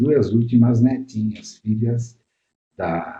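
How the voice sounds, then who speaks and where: A man's very slow, somewhat breathy delivery at medium pitch, dark and mellow in tone. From southern Brazil, Caxias do Sul area (Rio Grande do Sul). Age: 70s. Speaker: pediatrician. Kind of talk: interview. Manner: hesitant, with many fillers.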